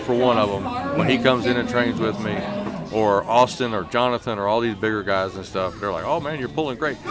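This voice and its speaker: A man speaks at a fairly quick pace and a medium pitch, with ordinary pitch variation, noticeable background noise and audible room echo. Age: 60s. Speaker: arm wrestling coach and competitor. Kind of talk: casual interview.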